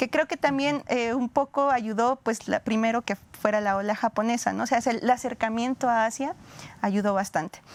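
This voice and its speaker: A woman with a fairly high-pitched voice speaks with ordinary pitch variation. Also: moderate pace, dry, close sound with no echo. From Mexico. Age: 30s. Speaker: historian. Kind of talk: interview. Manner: hesitant, many fillers.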